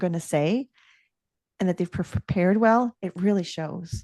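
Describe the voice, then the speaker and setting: Against a quiet background, a woman with a normal speaking voice talks at medium pitch and a moderate pace, with ordinary pitch variation and a dry, close sound with no echo. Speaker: leadership coach and author. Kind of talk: casual interview chat.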